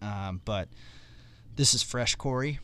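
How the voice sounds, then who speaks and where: A man has a normal speaking voice with ordinary pitch variation at a fairly slow pace. The recording is very clean, with a silent background. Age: 30s. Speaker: youth ministry podcast host. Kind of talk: casual interview.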